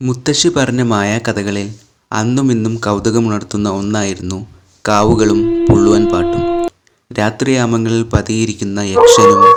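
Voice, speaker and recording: Music plays in the background while a man speaks at a medium pitch. His intonation stays fairly even. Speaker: storyteller. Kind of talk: horror story narration.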